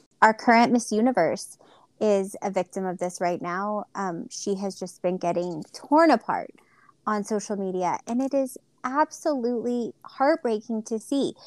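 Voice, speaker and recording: In an ordinary speaking voice, a woman talks at a moderate pace with lively intonation and a fairly high pitch, recorded very cleanly against a silent background with a dry, close sound and no echo. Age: 30s. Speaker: pageant podcast co-host. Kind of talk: casual chat.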